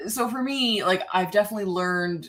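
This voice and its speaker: A woman with a fairly low pitch speaks with lively intonation. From Canada, near Toronto. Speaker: author. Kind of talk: casual interview chat. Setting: live stream. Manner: casual, many fillers.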